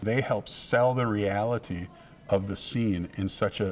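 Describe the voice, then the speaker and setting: This is an ordinary speaking voice. Its intonation stays fairly even. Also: man. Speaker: theatre director or producer. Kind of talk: interview answer.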